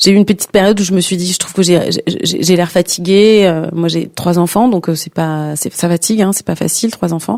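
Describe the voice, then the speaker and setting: A woman's fairly low voice at a fairly quick pace, fairly even in intonation and hardly pausing, over noticeable background noise. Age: 50s. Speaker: singer and performing artist. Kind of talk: interview. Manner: halting, many repetitions and fillers.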